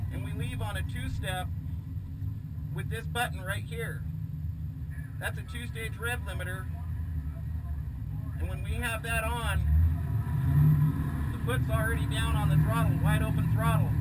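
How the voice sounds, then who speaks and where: A man speaks with long, frequent pauses. Loud background noise is heard behind him. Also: moderate pace. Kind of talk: explanatory commentary. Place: car. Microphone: camera far.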